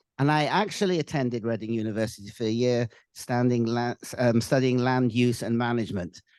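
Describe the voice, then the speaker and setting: At a fairly quick pace, a man talks with medium pitch and ordinary pitch variation. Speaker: real estate institute head opening a panel. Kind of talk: event welcome remarks. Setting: live hybrid panel event linked by video to London. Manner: many fillers and hesitations.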